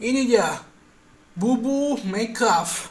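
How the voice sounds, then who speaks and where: A man speaks loudly, with ordinary variation in his pitch. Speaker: YouTuber reviewing cartoon channels. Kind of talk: casual commentary video. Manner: loud, raised voice.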